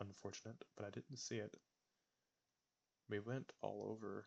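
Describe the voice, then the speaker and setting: A soft-spoken voice that breaks often into long pauses. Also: man. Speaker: gaming video creator. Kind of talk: gameplay commentary. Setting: home recording. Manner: quiet, talking softly; audible heavy breathing.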